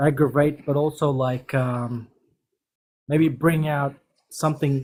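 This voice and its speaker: This man's voice sits fairly high. It carries a somewhat breathy quality. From Fiji, New Zealand and Australia. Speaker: caller. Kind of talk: casual chat. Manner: halting.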